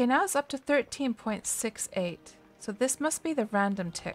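A woman speaks in a Canadian accent with a relaxed tone and very wide pitch swings. Music is playing in the background. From Canada. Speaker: game streamer. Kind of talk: gameplay livestream commentary. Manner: relaxed, thinking aloud.

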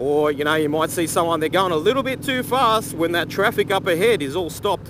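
A man talks at a fairly quick pace. There is noticeable background noise, though the sound is dry with no echo. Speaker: motorcycle vlogger. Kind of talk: casual vlog chat. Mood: relaxed, opinionated, some swearing. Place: motorbike. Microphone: helmet.

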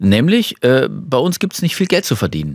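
A man talks at a fairly quick pace with very wide pitch swings, his voice dry with no echo against a quiet background. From Germany, Detmold (East Westphalia), moved to Swabia at ten; Germany. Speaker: Paralympic champion and horn player, former civil servant; talk show guest. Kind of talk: talk show interview. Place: studio. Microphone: studio mic.

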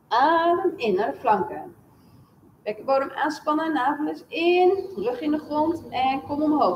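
A woman's high voice at a very slow pace, with very wide pitch swings, audible room echo and light background noise. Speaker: fitness instructor. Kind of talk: exercise class instruction in Dutch. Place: gym.

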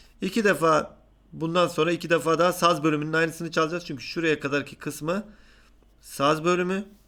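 This man speaks in a high voice at a fairly quick pace. His tone is bright and sharp. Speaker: music teacher. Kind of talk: tutorial. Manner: halting.

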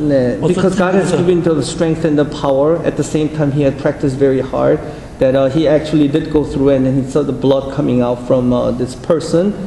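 A man with a fairly high pitch and fairly even intonation speaks with hardly any pauses, amid light background noise and audible room echo. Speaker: interpreter. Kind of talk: spoken interpretation. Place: meeting room.

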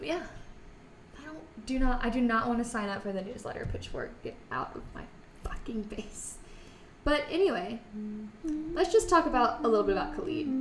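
A woman speaks at a moderate pace in a high voice with very wide pitch swings, with light background noise and audible room echo. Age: 20s. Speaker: music podcast co-host. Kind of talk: casual chat; reading aloud. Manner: animated. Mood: jokey, relaxed. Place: studio.

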